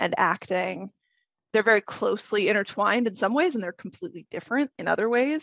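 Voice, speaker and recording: This woman speaks with an American accent and noticeable vocal fry. The sound is dry and close, with no echo. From Idaho, US. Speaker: conference speaker, digital strategist. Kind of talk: podcast interview.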